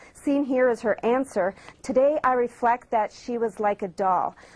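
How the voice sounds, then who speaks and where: A woman speaks at a moderate pace with a fairly high pitch. She has a normal speaking voice and fairly even intonation. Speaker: TV news reporter. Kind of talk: TV news report.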